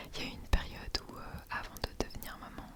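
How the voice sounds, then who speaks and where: A woman whispers while noticeable background noise carries on behind her. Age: 30s. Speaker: mother of two young children. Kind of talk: ASMR talk to camera. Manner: whispered.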